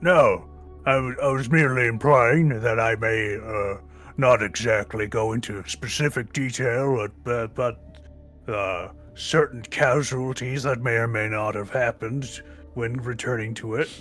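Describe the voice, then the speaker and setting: A man's put-on character voice at medium pitch and a fairly slow pace, with clear music in the background. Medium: game stream. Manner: terse, clipped broken speech.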